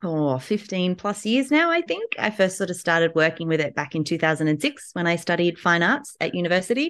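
With an Australian accent, a woman talks at a fairly quick pace and a fairly low pitch over a quiet background. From Newcastle, Australia. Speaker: textile artist. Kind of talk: interview. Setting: at home.

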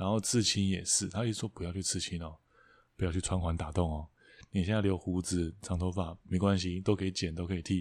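Against a silent background in a very clean recording, a man speaks at a fairly quick pace in a very deep, low pitch with monotone, flat intonation. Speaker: podcast co-host, songwriter. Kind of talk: casual chat.

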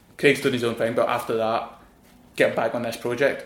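With a Glaswegian accent, this man speaks at a medium pitch. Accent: Glaswegian Scottish. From Glasgow, Scotland. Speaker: designer. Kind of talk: casual interview chat. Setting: studio.

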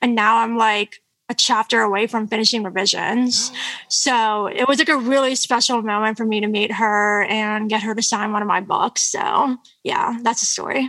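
Speaking with an American accent, a woman keeps a moderate pace at a fairly high pitch. Her tone is bright and sharp, and her intonation fairly even. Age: 20s. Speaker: country pop singer-songwriter. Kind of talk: casual interview chat. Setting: remote call.

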